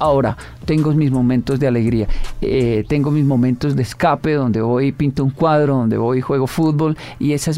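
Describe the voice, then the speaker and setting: At a moderate pace, a man talks in a normal speaking voice that is fairly high in pitch, with fairly even intonation. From Colombia, Bogotá (Ciudad Bolívar). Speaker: motivational speaker. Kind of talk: interview.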